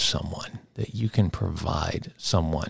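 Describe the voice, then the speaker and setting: The speech goes at a fairly slow pace. There is a somewhat breathy quality to the voice. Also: man. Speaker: podcast host. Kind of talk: interview. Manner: upbeat.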